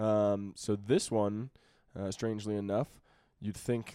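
At a fairly slow pace, a man speaks in a playful tone with a dark, mellow sound. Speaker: podcast co-host. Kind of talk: casual chat. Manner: joking, playful.

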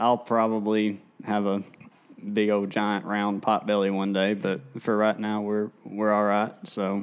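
With a Tennessee accent, a man speaks at a fairly slow pace and a fairly low pitch. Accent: US Southern (Tennessee). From Tennessee, Tennessee River area. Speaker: professional bass angler. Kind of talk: casual livestream chat. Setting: livestream on video and social media.

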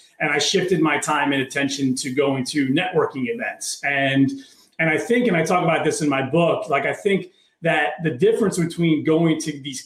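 Somewhat breathy, a man with an American accent speaks at a moderate pace in a fairly high pitch with ordinary pitch variation. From Maryland, near Baltimore. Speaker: entrepreneur and author. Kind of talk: interview conversation.

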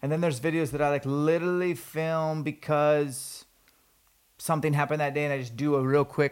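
In a very clean recording with a silent background, a man with a fairly high pitch talks at a fairly quick pace in an energetic tone. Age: 40s. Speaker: podcast host, fitness trainer and hunter. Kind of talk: casual interview. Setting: in person.

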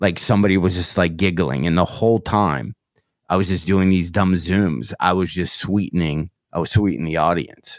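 Recorded very cleanly over a silent background, a man with a Michigan accent speaks at a moderate pace in a very deep, low voice with ordinary pitch variation. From Michigan, US. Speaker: comedian. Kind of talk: casual interview chat.

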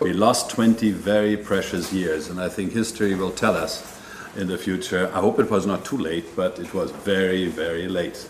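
A man speaks in a very deep, low voice at a moderate pace. Noticeable background noise runs behind him. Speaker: bank executive. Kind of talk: panel interview.

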